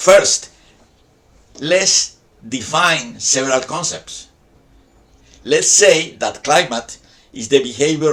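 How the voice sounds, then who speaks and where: A man with a Spanish accent. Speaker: video essayist on science topics. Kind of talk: scripted narration. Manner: formal.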